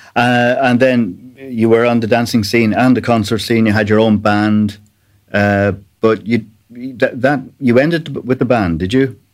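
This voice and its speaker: A man speaks at a fairly slow pace with an Irish accent, his loudness staying very even. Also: medium pitch for a man, fairly even intonation. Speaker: podcast host. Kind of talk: interview chat.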